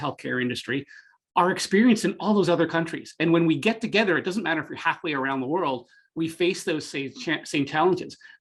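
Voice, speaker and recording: With a slight Canadian accent, the speaker talks at a fairly quick pace with lively intonation over a quiet background. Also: man. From Canada, Greater Toronto area. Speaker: tech marketing executive. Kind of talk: podcast interview. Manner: halting, many fillers.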